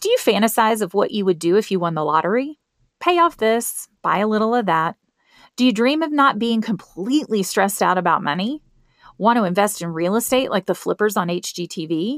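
At a fairly quick pace, a woman with a Southern US accent talks in an upbeat tone at a fairly high pitch, the sound dry and close with no echo. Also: lively intonation. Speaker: financial coach podcast host. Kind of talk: scripted promotional intro and money talk. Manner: upbeat, friendly, humorous.

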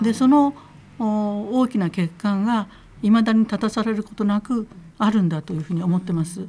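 A woman's voice, fairly high in pitch, has a dark, mellow tone and sounds somewhat breathy. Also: ordinary pitch variation, moderate pace. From Kitakyushu, Fukuoka, Japan. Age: 70s. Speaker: feminist lawyer. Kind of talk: interview, conversational talk. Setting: radio studio.

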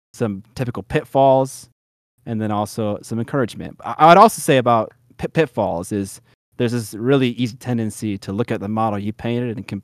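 The man speaks in an ordinary speaking voice at a medium pitch. His pace is fairly quick, with ordinary pitch variation. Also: very clean recording, silent background. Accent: American. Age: 30s. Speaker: miniature painting YouTuber. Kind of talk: casual interview chat.

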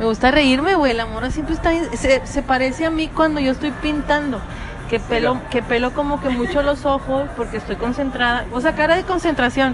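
Over music in the background, a woman talks at a fairly quick pace in a high voice with a strong Monterrey accent and ordinary pitch variation. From Monterrey, Mexico. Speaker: podcast guest. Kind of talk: casual chat. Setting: apartment recording.

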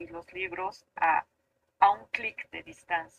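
This woman speaks at a very slow pace. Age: 40s. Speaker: architect. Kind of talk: casual chat.

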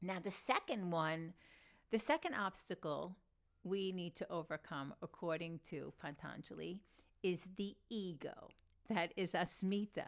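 Speech in an American accent moves at a fairly slow pace with ordinary pitch variation. The recording is very clean, with a silent background. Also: woman, medium pitch for a woman. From New York, Long Island. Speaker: podcast host and yoga teacher. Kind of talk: solo talk on yoga philosophy.

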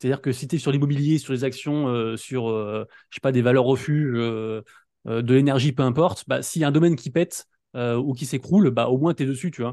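Over a quiet background, a man with a dark, mellow tone talks at a fairly quick pace in a medium pitch with ordinary pitch variation. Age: 30s. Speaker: NFT news YouTuber. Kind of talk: casual chat. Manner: fast, poorly articulated.

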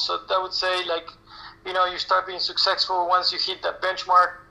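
With noticeable background noise behind him, a man uses a raised, projected voice at a high pitch. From Argentina. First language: Spanish. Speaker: national team tennis coach. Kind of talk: interview. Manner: halting, many fillers.

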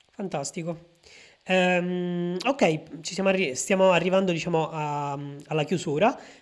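A very slow, high-pitched male voice with ordinary pitch variation and long, frequent pauses, on a very clean recording with a silent background. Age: 20s. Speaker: podcast host and data scientist. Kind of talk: interview. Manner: hesitant, many fillers.

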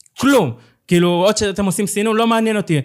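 A man talks in a high pitch. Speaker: co-founder of a social movement. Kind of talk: interview. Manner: halting.

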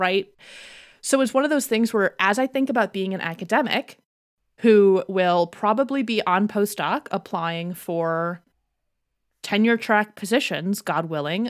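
In a very clean recording with a silent background and a dry, close sound with no echo, a woman with a plain, everyday voice speaks at medium pitch and a fairly slow pace with an American accent and lively intonation. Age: 20s. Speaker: psychology PhD candidate and podcaster. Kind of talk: casual chat.

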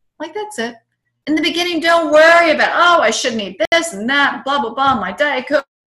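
The speaker sounds enthusiastic, with a raised, projected voice. The pace is fairly quick and the intonation lively. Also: woman, high pitch for a woman. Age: 50s. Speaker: tai chi instructor and nutrition therapist. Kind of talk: interview; guided breathing exercise.

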